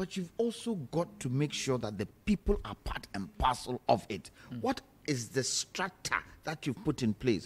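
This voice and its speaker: A somewhat breathy man speaks at a moderate pace, his pitch swinging very widely. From Ghana. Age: 60s. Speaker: political panelist. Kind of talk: heated debate. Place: studio. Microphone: studio mic.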